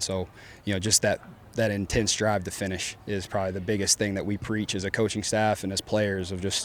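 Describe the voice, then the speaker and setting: Speaking very fast in a Texan accent, a man holds a fairly low pitch. His intonation is flat and monotone, in a very clean recording with a silent background. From Deep East Texas. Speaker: college football coach. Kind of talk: press conference. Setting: press conference with media. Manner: casual, many fillers.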